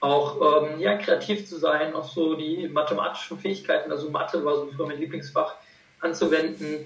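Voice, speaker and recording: A man with a fairly high pitch and ordinary pitch variation talks over noticeable background noise, with audible room echo. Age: 20s. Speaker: medical student. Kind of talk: interview.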